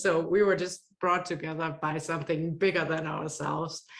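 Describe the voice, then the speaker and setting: The speaker has a Danish accent, talking at a fairly quick pace with fairly even intonation. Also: woman. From Denmark. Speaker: online course consultant. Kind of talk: interview.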